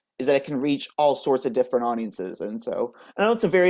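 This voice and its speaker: A plain, everyday voice from a man with an American accent and fairly high pitch, in a very clean recording with a silent background. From United States. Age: 20s. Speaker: playwright. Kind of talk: interview. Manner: fast, many fillers.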